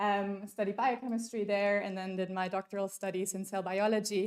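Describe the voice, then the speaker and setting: A woman at a moderate pace, medium in pitch, with fairly even intonation and a German accent. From Germany. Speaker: workshop speaker. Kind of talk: conference talk. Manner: casual, many fillers.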